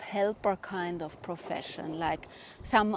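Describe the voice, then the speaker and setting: A woman speaks with a German accent. Her pace is fairly slow, with ordinary pitch variation. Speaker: spiritual vlogger. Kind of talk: personal monologue.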